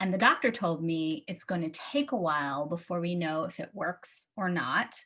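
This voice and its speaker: A woman with a normal speaking voice and a fairly low pitch talks at a fairly slow pace against a quiet background. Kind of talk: confessional inspirational talk to a live audience.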